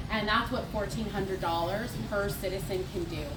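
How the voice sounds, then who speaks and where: Audible room echo and noticeable background noise surround a woman who talks fairly quickly. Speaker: nonprofit leader. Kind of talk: fundraising speech. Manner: loud.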